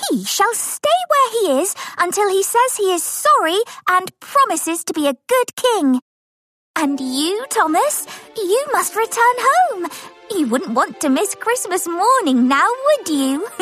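A female-sounding put-on character voice at an extremely high pitch, with very wide pitch swings and a fairly slow pace. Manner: gentle, regal.

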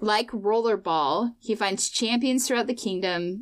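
A woman with a plain, everyday voice at a medium pitch and fairly slow pace, lively intonation, in a very clean recording with a silent background. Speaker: podcast co-host. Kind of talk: casual chat.

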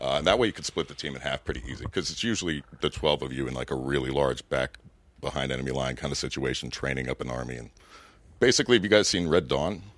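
A man talks at a very fast pace with vocal fry. His pitch is very deep and low, with ordinary pitch variation. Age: 30s. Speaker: former Green Beret and comedian. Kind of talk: casual chat.

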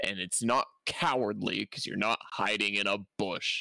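Very slowly, a man speaks with a dry, close sound that has no echo. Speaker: podcast co-host. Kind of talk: casual chat.

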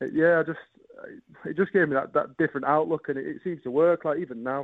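The speaker has a Yorkshire accent. The pace is very fast. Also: man. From northern England, Bradford. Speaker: professional darts player. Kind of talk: radio interview.

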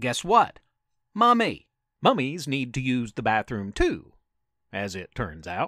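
A man uses a put-on character voice at a slow pace, with big pitch swings, a bright, sharp tone and medium pitch, in a very clean recording with a silent background.

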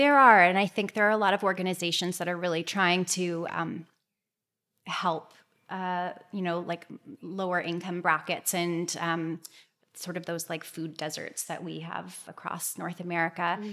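A woman with a Canadian accent talks at a moderate pace in an ordinary speaking voice, her pitch fairly low and her intonation fairly even. The recording is very clean, with a silent background. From Toronto area, Canada. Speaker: clinical nutritionist. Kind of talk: interview.

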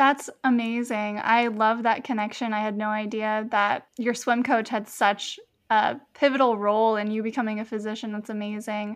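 In a quiet background, a woman speaks at a moderate pace and a fairly high pitch, her intonation monotone and flat. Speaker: medical student podcast host. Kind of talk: casual interview chat.

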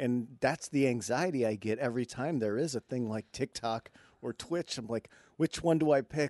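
Recorded with a dry, close sound with no echo and a quiet background, a man in an American accent uses a normal speaking voice at medium pitch, ordinary pitch variation and a moderate pace. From Michigan. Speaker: comedian. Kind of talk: casual chat.

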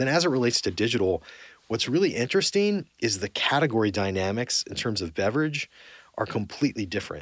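A man speaks with a Californian accent and lively intonation. The recording is very clean, with a silent background. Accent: General American (Californian). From Southern California (Orange County). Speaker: corporate executive. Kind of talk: interview.

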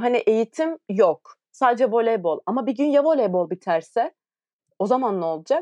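A high-pitched woman at a moderate pace, with very wide pitch swings and a dry, close sound free of echo. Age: 20s. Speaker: podcast co-host, professional volleyball player. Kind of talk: casual chat.

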